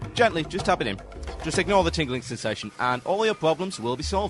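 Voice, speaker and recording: Music plays behind a man with a slight Geordie accent. He speaks at a fairly quick pace in a fairly high pitch with very wide pitch swings. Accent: subtle Geordie. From England. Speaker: radio show host. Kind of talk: ranting radio talk. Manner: sarcastic.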